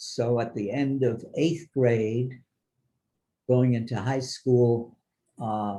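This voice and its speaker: A man at a medium pitch, somewhat breathy and dark, mellow in tone, at a very slow pace with long, frequent pauses. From Germany, later New York. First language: German. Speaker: Holocaust survivor speaker. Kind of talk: testimony to students.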